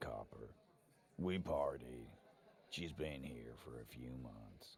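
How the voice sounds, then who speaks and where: The delivery is fairly slow. It's a put-on character voice. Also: man, very deep, low pitch for a man. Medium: video game. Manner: gruff, curt.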